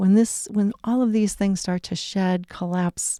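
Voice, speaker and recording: This woman speaks at a medium pitch with fairly even intonation and a dark, mellow tone, on a very clean recording with a silent background. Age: 60s. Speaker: wellness coach. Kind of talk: casual talk.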